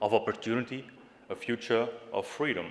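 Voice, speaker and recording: A man with a Flemish accent at a medium pitch. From Flanders, Belgium. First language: Dutch (Flemish). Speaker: youth party leader, political speaker. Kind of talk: political speech. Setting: stage with audience in a hall. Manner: impassioned, rousing.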